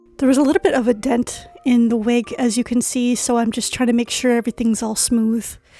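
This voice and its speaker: Against noticeable background noise, a woman speaks at high pitch and a fairly quick pace with hardly any pauses and fairly even intonation. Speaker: cosplayer. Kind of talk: casual tutorial voice-over.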